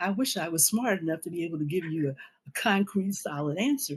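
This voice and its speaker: A woman talks at a very fast pace with an American accent. Her voice is somewhat breathy. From US Midwest, Jefferson City, Missouri. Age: 70s. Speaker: activist and former party newspaper editor. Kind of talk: interview conversation.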